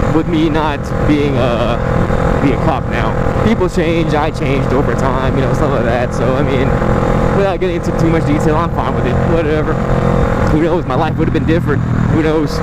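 Delivered at a fairly quick pace with an American accent, the speech is dry with no echo but sits over loud background noise. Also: man. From San Francisco Bay Area, California. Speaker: motorcycle vlogger. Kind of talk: casual vlog. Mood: relaxed, startled once. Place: motorbike. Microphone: helmet.

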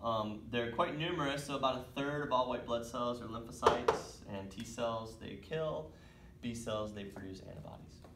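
The voice moves at a moderate pace against noticeable background noise. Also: man. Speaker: teacher. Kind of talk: lecture. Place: classroom. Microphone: camera far.

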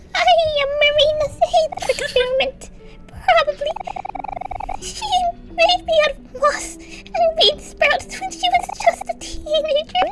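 Over music in the background, a put-on character voice at an extremely high pitch swings very widely in a playful tone, moving at a fairly slow pace with long, frequent pauses. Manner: cute, playful.

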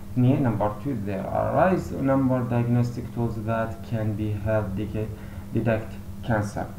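A man with an Iraqi accent speaks at a medium pitch with ordinary pitch variation, amid noticeable background noise and audible room echo. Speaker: university lecturer in pathology. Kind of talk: lecture.

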